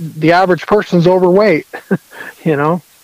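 Noticeable background noise surrounds a man with an American accent, whose fairly even intonation comes through a dry, close sound with no echo. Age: 40s. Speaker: bowhunter and fitness enthusiast. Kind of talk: casual interview chat.

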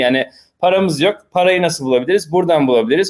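Pitch shifts in an ordinary way. The speech moves at a very fast pace. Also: man. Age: 30s. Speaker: entrepreneur, mobile game publisher. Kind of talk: casual chat.

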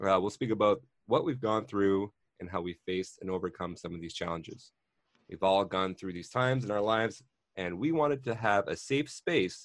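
Against a quiet background, a man speaks in a normal speaking voice. His pitch is fairly low, with ordinary pitch variation. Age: 30s. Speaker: podcast host, IT support worker. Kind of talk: scripted intro reading; casual chat.

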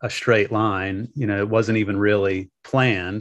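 An ordinary speaking voice in an American accent, moderate pace and fairly even intonation against a quiet background. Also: man. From US South, the Carolinas. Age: 50s. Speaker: wedding officiant and business owner. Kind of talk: interview.

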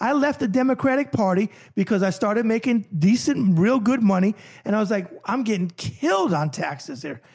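In a New York accent, a man with a high pitch talks at a fairly quick pace with lively intonation on a very clean recording with a silent background. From New York (New Rochelle), later Miami Beach. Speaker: author and boxing journalist. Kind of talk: casual interview chat. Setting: studio.

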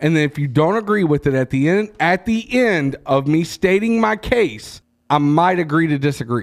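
A man speaks loudly at a moderate pace, in a fairly high pitch. His tone is animated and his intonation lively. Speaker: podcast host. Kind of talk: casual chat, profane banter. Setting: studio, podcast recording. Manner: loud, animated.

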